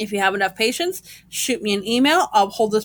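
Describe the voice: Plain reading aloud comes through, its pitch varying in an ordinary way.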